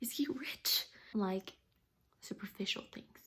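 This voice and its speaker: Somewhat breathy, fairly high-pitched speech from a woman, its pitch varying in an ordinary way. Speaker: vlogger. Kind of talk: casual monologue.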